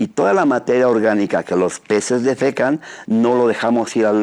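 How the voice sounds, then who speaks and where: This man has an ordinary speaking voice at medium pitch, talking at a moderate pace with ordinary pitch variation. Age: 60s. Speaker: trout farmer. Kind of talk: radio interview.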